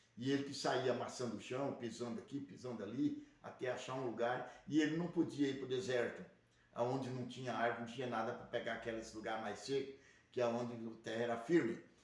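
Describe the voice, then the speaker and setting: A man speaks at a fairly quick pace with fairly even intonation, and the room echo is audible. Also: medium pitch for a man. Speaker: religious livestream host. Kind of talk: religious teaching monologue. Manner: speaking quietly; rambling, repetitive.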